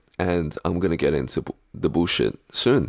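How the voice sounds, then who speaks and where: Very deep and low, a man's voice carries vocal fry and lively intonation at a moderate pace. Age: 20s. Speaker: podcast host. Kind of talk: solo podcast monologue.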